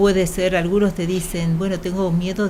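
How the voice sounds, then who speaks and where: A woman with an Argentine accent at a fairly slow pace, with noticeable background noise. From Argentina. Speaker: doctor on hospital bioethics committee. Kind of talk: radio interview.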